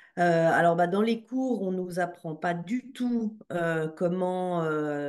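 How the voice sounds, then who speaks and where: Her pitch sits fairly low for a woman. It shows ordinary variation. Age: 40s. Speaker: psychologist and EMDR practitioner. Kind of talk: interview testimony. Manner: hesitant, many fillers.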